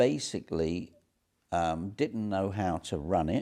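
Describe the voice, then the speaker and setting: With an English accent, a man speaks very slowly in a very deep, low voice of dark, mellow tone over a quiet background. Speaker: entrepreneur. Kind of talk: interview.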